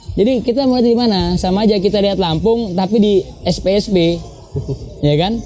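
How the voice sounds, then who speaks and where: With noticeable background noise behind him, a man speaks at a moderate pace in a high pitch. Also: ordinary pitch variation, very even loudness. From Jakarta, Indonesia. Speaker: touring cyclist / bike packer. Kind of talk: casual interview chat.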